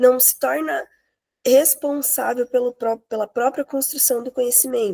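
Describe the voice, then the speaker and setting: Over music in the background, a woman with a high pitch speaks at a moderate pace with fairly even intonation, the sound dry and close with no echo. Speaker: master's student presenter. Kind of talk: academic presentation.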